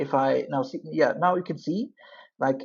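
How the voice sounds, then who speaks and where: Her pitch fairly low, a woman talks with a non-native accent. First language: not English. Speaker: UI engineer and Android developer making coding tutorials. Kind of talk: coding tutorial.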